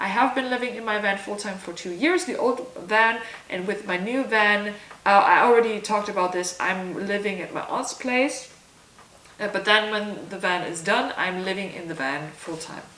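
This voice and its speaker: Speaking at a moderate pace in a German accent, a woman with a medium pitch shifts widely in loudness, with audible room echo and noticeable background noise. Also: ordinary pitch variation. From southern Germany. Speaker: vlogger. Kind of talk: casual Q&A vlog. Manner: casual, with fillers.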